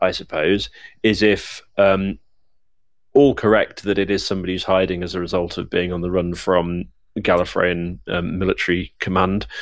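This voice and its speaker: A man's very deep, low voice at a moderate pace, ordinary pitch variation, and a very clean recording with a silent background. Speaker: podcast host. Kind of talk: casual podcast chat.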